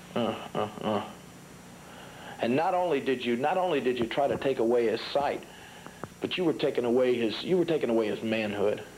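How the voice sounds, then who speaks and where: Speaking in an American accent, a man with a medium pitch and an angry tone moves at a fairly quick pace, with ordinary pitch variation and very even loudness. He leaves long, frequent pauses over noticeable background noise. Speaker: professional wrestler. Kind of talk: wrestling promo interview. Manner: angry, emphatic, threatening.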